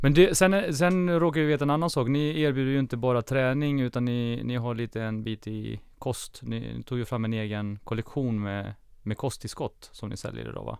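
Speaking with a normal speaking voice, a man keeps a medium pitch and a moderate pace with hardly any pauses. His pitch variation is ordinary, and the recording is very clean with a silent background. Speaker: podcast co-host. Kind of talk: interview. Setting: studio.

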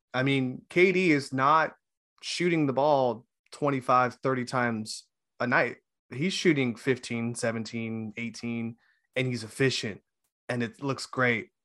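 A man speaks at a very slow pace with a bright, sharp tone. His pitch is medium, with ordinary pitch variation. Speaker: sports podcast co-host. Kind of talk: casual chat. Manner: jokey, banter.

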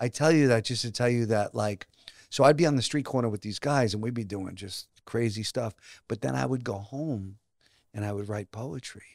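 With a Brooklyn accent, a man speaks at a medium pitch and a moderate pace. The sound is dry and close, with no echo. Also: ordinary pitch variation, very clean recording, silent background. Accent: New York, Brooklyn. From Brooklyn and New Jersey, US. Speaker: actor and playwright. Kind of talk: casual interview.

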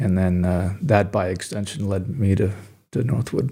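The tone is dark and mellow. There is a somewhat breathy quality. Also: man. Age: 50s. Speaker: sculptor. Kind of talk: interview conversation. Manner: halting, many fillers and repetitions.

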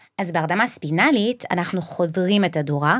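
A woman talks with a fairly low pitch, ordinary pitch variation and a moderate pace. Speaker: anesthesiologist. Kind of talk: interview.

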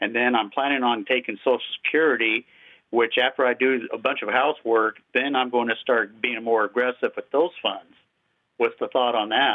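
A man with a normal speaking voice, medium pitch and fairly even intonation, at a moderate pace. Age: 60s. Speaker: retiree. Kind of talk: casual chat.

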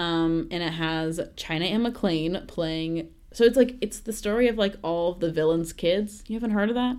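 A woman with an American accent has a plain, everyday voice, fairly low in pitch, with ordinary pitch variation. She keeps a moderate pace with hardly any pauses in a very clean recording with a silent background. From Texas. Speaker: college student. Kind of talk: casual chat.

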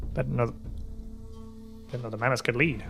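Clear music plays behind a man doing a put-on character voice at a medium pitch and a fairly quick pace. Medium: actual play. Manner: rambling, inquisitive, blunt.

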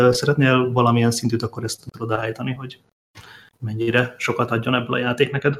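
The voice moves at a fairly quick pace. It sounds somewhat breathy. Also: man. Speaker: game designer. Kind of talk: casual chat.

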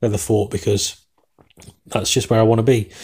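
In a very clean recording with a silent background, a man speaks with an English accent at a fairly quick pace. His voice is fairly low, somewhat breathy, and dark and mellow in tone. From England. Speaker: sports podcast host. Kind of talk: solo podcast commentary. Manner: fast talker.

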